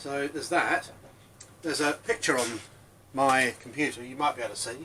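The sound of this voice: With a bright, sharp tone, a man of medium pitch speaks at a moderate pace and varies his pitch in an ordinary way.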